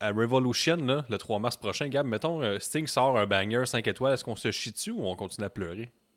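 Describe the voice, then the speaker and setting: A medium-pitched male voice with a Quebec accent, moderate pace and ordinary pitch variation, recorded very cleanly against a silent background. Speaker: wrestling podcast co-host. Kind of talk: casual chat. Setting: live stream.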